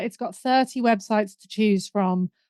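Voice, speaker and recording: In a northern English accent, a woman speaks fairly quickly at a fairly high pitch with ordinary pitch variation, the sound dry and close with no echo. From northern England. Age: middle-aged. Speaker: business mentor and marketing coach. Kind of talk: podcast interview.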